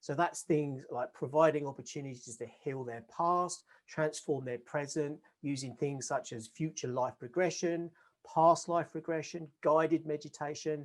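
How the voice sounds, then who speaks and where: In an ordinary speaking voice, a man talks at a moderate pace, his pitch fairly high and his intonation fairly even. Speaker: podcast host. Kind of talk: interview host, casual conversation.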